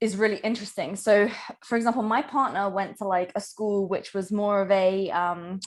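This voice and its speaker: In a British accent, a woman speaks at a moderate pace and medium pitch on a very clean recording with a silent background. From UK. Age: 20s. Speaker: online business coach. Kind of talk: podcast interview.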